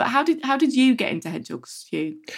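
A woman with an English accent on a very clean recording with a silent background. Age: 40s. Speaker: magazine wildlife editor. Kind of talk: interview.

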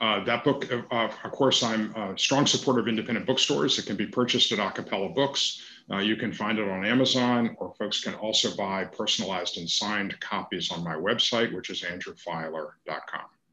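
A man with an American accent and an unremarkable speaking voice, fairly low in pitch, with ordinary pitch variation and hardly any pauses. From Savannah, Georgia, US South. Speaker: photographer and author. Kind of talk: interview.

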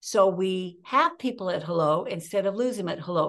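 Woman at a moderate pace, medium pitch. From small-town California. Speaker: keynote speaker and communication coach. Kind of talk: interview. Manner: animated.

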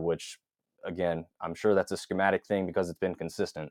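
A man talks at a very fast pace, the sound dry and close with no echo against a quiet background. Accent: American. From North Carolina (Hickory). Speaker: college football blogger and fan. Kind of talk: casual interview.

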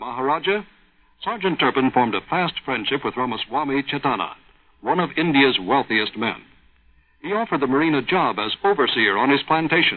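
Here is a man with a plain, everyday voice and a fairly high pitch. He talks at a fairly quick pace with lively intonation. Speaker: announcer. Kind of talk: news-style announcement. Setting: radio broadcast.

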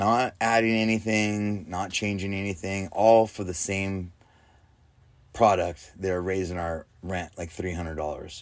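A man with an unremarkable speaking voice talks at a fairly slow pace and a fairly low pitch. His intonation is fairly even, on a very clean recording with a silent background. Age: 40s. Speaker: podcast host. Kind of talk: casual monologue. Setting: inside an RV. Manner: casual, laid-back.

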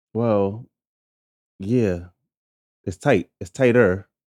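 With a New York accent, a man speaks in a dark, mellow tone and fairly even intonation, the sound dry and close with no echo. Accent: New York City. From New York City, Harlem. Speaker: podcast host. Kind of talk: casual interview chat.

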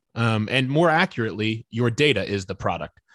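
An ordinary speaking voice with an American accent, moderate in pace, the sound dry and close with no echo against a quiet background. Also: man. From US Midwest, northeast Indiana (Fort Wayne). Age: 30s. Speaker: author on social media and faith. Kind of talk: casual interview.

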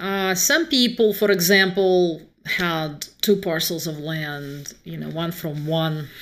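A woman in a Russian accent at a fairly low pitch, with ordinary pitch variation, a very slow pace, hardly any pauses and noticeable background noise. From Moscow, Russia. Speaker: author. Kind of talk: casual interview conversation.

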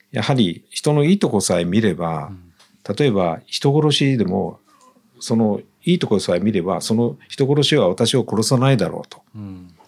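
A man has an ordinary speaking voice with lively intonation. He keeps a moderate pace. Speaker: dentist. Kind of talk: interview.

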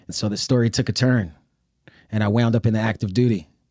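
A medium-pitched man with a New York accent, very fast pace, fairly even intonation, very clean recording and silent background. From Brooklyn, New York City. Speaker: army veteran and sociology professor. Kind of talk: interview. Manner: casual.

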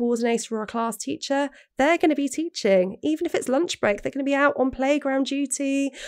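A woman speaks with a high voice. The recording is very clean, with a silent background. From England. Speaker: business coach. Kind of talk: interview.

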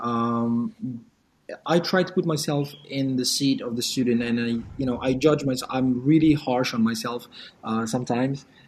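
A man talks at a medium pitch and a moderate pace, in an ordinary speaking voice. His pitch variation is ordinary. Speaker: language teacher and YouTuber. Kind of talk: casual interview.

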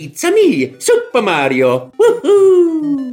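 A man uses a put-on character voice at an extremely high pitch. Music plays in the background. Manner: cheerful, excited.

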